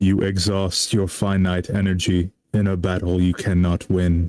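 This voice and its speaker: Putting on a character voice, a man speaks at a moderate pace in a very deep, low pitch with monotone, flat intonation. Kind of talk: robotic. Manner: flat, monotone.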